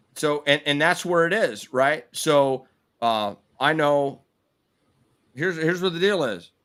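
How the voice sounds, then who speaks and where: A man speaks at a fairly slow pace with a fairly high pitch and ordinary pitch variation, leaving long, frequent pauses. The recording is very clean, with a silent background. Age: 50s. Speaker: podcast host. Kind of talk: casual chat. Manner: animated.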